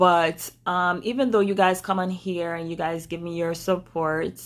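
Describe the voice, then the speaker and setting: In a Jamaican accent, a woman speaks at a fairly low pitch with monotone, flat intonation on a very clean recording with a silent background. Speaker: vlogger. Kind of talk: personal story talk to camera. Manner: casual, chatty.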